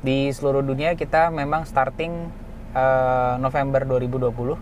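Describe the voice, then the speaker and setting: The voice belongs to a man in a Makassar accent, speaking at a moderate pace. His medium pitch stays monotone and flat. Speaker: internal medicine doctor. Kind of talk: explanatory interview. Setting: in a car with sunroof open.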